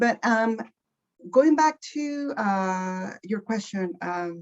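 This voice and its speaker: With a Mexican accent, a woman speaks in very wide pitch swings. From Mexico, Michoacan. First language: Spanish. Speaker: guest speaker. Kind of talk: panel interview. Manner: halting.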